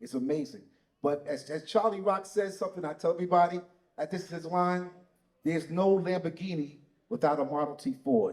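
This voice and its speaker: A man with a New York accent, high-pitched, with ordinary pitch variation and a fairly quick pace. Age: 60s. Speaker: breaking pioneer. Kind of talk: panel discussion.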